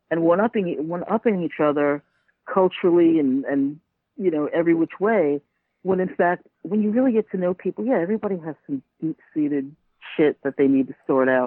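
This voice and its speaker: With a New York accent, a woman talks at a fairly quick pace in a fairly low pitch with lively intonation. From Staten Island, New York. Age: 50s. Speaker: podcaster. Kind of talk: interview.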